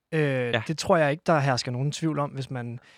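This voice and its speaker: A normal speaking voice from a man, moderate pace, ordinary pitch variation, very clean recording with a silent background. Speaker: football podcast co-host. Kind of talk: casual chat. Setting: studio.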